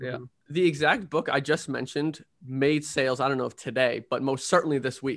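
An unremarkable speaking voice from a man, fairly high in pitch, with fairly even intonation and a fairly quick pace. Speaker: podcast host. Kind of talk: casual interview chat.

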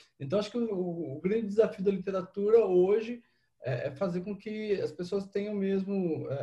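A man's dark, mellow tone, somewhat breathy, at a fairly slow pace. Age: 40s. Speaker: author. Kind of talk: casual chat.

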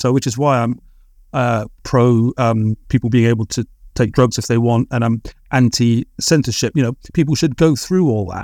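A man's medium-pitched voice with a dark, mellow tone and a dry, close sound with no echo. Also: ordinary pitch variation, moderate pace, very clean recording, silent background. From England. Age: 40s. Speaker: writer, artist and musician. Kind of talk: podcast interview. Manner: hesitant, many filler words.

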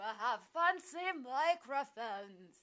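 A female-sounding voice uses a put-on character voice at a high pitch. The pace is fairly slow. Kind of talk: polished podcast voice. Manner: smooth, affected, pretend-fancy.

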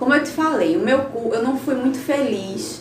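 Here a woman talks at a moderate pace. Noticeable background noise and audible room echo fill the recording. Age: 20s. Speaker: digital influencer. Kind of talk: interview.

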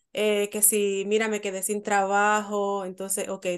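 Nothing stirs in the quiet background. A woman's voice sits at a medium pitch. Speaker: podcast co-host interviewer. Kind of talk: casual interview chat.

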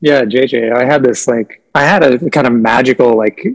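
In a Midwestern US accent, a man speaks at a medium pitch with ordinary pitch variation. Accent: General American, Midwest. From US Midwest, Nebraska. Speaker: sound therapist and artist. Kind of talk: casual interview chat.

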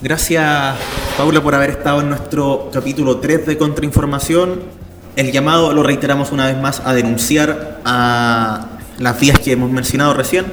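At a moderate pace with fairly even intonation, the speech comes through audible room echo and noticeable background noise. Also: man, fairly high pitch for a man. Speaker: student radio host. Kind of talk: radio talk show.

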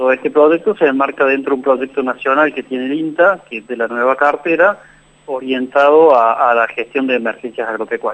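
Delivered at a fairly quick pace, this is an unremarkable speaking voice with ordinary pitch variation. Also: man, medium pitch for a man. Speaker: biologist. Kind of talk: interview.

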